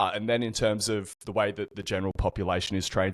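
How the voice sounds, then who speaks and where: In an Australian accent, a man speaks at a very fast pace in a monotone, flat intonation, in a very clean recording with a silent background and a dry, close sound with no echo. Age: 30s. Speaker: personal trainer. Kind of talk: podcast interview.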